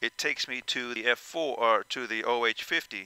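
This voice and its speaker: The tone is bright and sharp, with ordinary pitch variation. The sound is dry, with no echo. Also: man. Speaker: VR flight sim content creator. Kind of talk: tutorial. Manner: loud; halting, many fillers. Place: home room.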